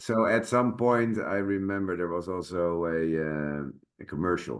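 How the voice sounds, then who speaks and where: A man with a Dutch accent and lively intonation. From Netherlands. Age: 40s. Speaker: actor and sword master. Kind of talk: casual chat. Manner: halting.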